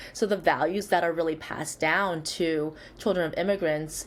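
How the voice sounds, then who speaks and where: A woman speaks with a Chinese accent at a very deep, low pitch, with vocal fry. Her pace is moderate and her intonation lively. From born in Shanghai, grew up in Michigan, US. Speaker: psychologist. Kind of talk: interview.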